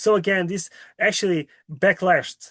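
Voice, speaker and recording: A man with a Portuguese accent speaks fairly slowly at a high pitch. The sound is dry and close with no echo, and the background is quiet. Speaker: climate justice researcher presenting a report. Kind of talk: webinar presentation and Q&A answer. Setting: video call webinar.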